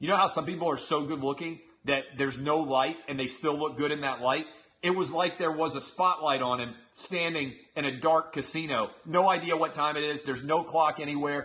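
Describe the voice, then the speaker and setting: At a moderate pace, a man talks in a plain, everyday voice with a fairly high pitch and fairly even intonation. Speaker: sports radio and TV host. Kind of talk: casual talk to camera, comedic opinion commentary. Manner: humorous, rambling, conversational.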